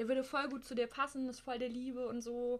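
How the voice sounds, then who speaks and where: A woman speaks in a fairly high voice. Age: 20s. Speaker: host's wife. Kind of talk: casual chat.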